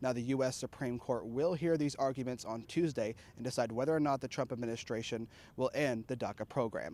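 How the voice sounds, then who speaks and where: Speaking at a medium pitch, a man has an unremarkable speaking voice with fairly even intonation. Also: fairly quick pace. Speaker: student TV reporter and weather anchor. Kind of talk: TV news report.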